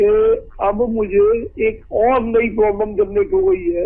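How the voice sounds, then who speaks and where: A man's voice rises to a high pitch, its pitch variation ordinary. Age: 60s. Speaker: caller, lawyer. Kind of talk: phone-in question. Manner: halting.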